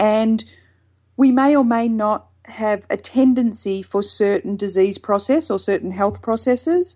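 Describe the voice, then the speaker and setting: Against a quiet background, a woman speaks fairly slowly, her tone dark and mellow and her pitch fairly high. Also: ordinary pitch variation. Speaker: mindfulness expert. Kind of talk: casual interview.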